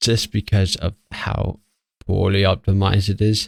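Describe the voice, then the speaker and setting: The sound is dry and close, with no echo. A man speaks at a very slow pace in a fairly low pitch. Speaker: gaming YouTuber. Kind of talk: gameplay commentary. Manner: hesitant, many fillers.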